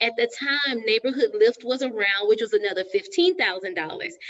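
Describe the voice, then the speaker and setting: With a Texan accent, a woman speaks at a moderate pace in a high voice that moves through very wide pitch swings. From Texas. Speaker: real estate agent, show host. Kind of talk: live stream panel discussion. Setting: live Facebook stream.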